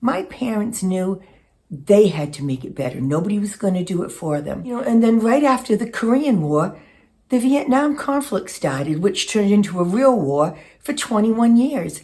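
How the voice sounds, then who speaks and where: A woman with a dark, mellow, somewhat breathy tone speaks at a medium pitch and moderate pace, her pitch swinging very widely. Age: 60s. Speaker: lifestyle vlogger. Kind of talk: casual monologue. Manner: reflective, with some hesitations.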